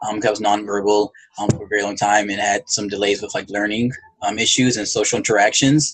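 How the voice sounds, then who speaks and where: Intonation stays fairly even as a man with an American accent speaks at a fairly low pitch. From US South, rural Alabama. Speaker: psychologist. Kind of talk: interview. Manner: hesitant, many fillers; monotone.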